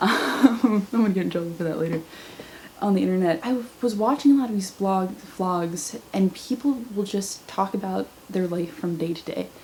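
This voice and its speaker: Noticeable background noise sits behind a woman talking at a moderate pace with ordinary pitch variation. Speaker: vlogger. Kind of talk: casual vlog monologue. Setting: camera at home, thin-walled room.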